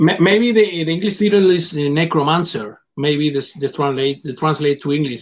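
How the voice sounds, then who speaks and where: The man has a fairly high pitch and a non-native accent. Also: ordinary pitch variation, moderate pace, hardly any pauses. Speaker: film director. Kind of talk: interview. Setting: video call. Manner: halting.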